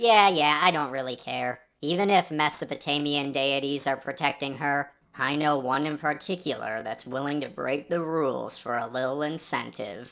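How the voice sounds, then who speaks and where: A put-on character voice at a low-to-middle pitch, moderate in pace with hardly any pauses. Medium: virtual streamer. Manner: smug, sarcastic.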